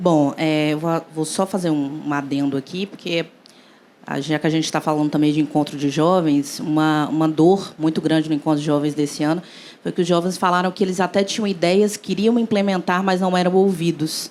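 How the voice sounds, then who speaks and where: A woman's fairly low, fairly even-toned delivery in a normal speaking voice. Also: moderate pace. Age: young. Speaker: engineer and cooperative founder. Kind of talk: panel discussion.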